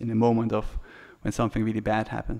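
The background stays quiet as a man speaks. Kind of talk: press conference briefing. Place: hall. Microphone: podium.

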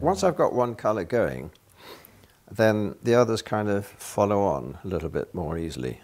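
With a British accent, a man speaks at a moderate pace in a fairly low voice against a quiet background. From Britain. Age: 80s+. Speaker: painter. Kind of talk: documentary interview answer. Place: studio. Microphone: lapel.

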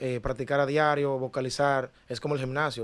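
Here a man with medium pitch speaks at a fairly quick pace. His intonation is monotone and flat. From Dominican Republic, Cristo Rey (Santo Domingo); Dominican Republic. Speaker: singer, ex talent show contestant; podcast guest. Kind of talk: interview. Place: studio. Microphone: studio mic.

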